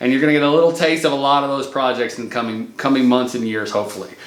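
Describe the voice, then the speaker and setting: A man with a Midwestern accent speaks at a fairly high pitch, with noticeable background noise and audible room echo. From US Midwest. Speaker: remodeling contractor and channel host. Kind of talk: casual channel intro talk to camera. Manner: casual, with many fillers and restarts.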